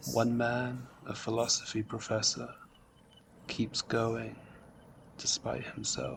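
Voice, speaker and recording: A man speaks at a very slow pace. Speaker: book reviewer and reader. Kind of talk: reading aloud with commentary. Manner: monotone; depressive tone.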